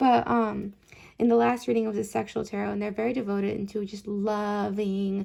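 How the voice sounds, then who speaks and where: A woman speaks at a medium pitch with a dark, mellow tone and fairly even intonation. The recording is very clean, with a silent background. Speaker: tarot reader. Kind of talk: tarot reading. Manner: fast.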